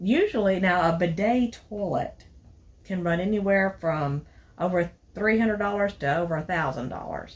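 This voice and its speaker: Somewhat breathy, a woman speaks at a medium pitch in a Southern US accent. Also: ordinary pitch variation, moderate pace. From Tennessee. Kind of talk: casual product review to camera.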